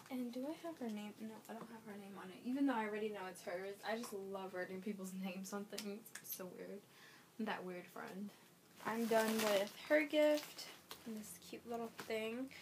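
Big swings in loudness, ordinary pitch variation and a moderate pace, with noticeable background noise. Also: woman, fairly high pitch for a woman. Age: 20s. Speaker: vlogger. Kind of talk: casual vlog. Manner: chatty, rambling speech with fillers.

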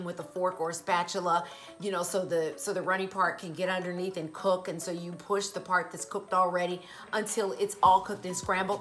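Faint music plays in the background as a woman speaks at a fairly quick pace with fairly even intonation. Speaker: vegan lifestyle vlogger. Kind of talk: casual vlog chat. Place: home room.

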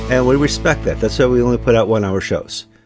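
Over faint music in the background, a man talks at a fairly quick pace in a dry sound with no echo. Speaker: show host. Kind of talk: podcast host intro. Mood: cheerful, joking. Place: home room.

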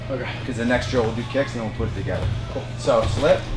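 Clear music plays in the background as a man races through his words at a very fast pace. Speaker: fight coach. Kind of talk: coaching instructions. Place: gym.

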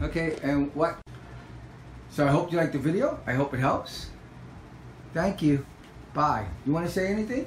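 The speaker uses an animated tone at a moderate pace, with long, frequent pauses, audible room echo and light background noise. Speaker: parent making a product review video. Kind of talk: casual home product demo, chatty and coaxing. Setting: at home with kids. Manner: animated, repetitive, coaxing a child. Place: home room. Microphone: phone near.

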